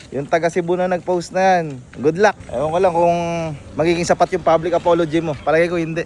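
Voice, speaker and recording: This man speaks at a very fast pace. His pitch is high for a man. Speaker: vlogger. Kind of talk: casual chat. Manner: animated.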